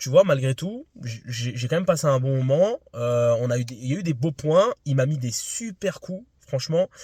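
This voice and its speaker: A man with a fairly high pitch speaks at a moderate pace, barely pausing, with lively intonation. His tone is dark, mellow and somewhat breathy, with a dry, close sound and no echo. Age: 20s. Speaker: amateur tennis vlogger. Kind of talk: casual vlog debrief. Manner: hesitant, many fillers.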